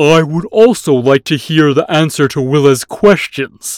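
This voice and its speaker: A man puts on a character voice at a moderate pace, pitched fairly high, in a very clean recording with a silent background. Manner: challenging, grim.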